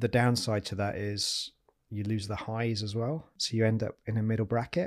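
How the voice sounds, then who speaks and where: A man with a Yorkshire accent speaks at a medium pitch. The recording is very clean, with a silent background. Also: fairly even intonation, moderate pace. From Yorkshire, northern England. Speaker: property investor and former army officer. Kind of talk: interview conversation.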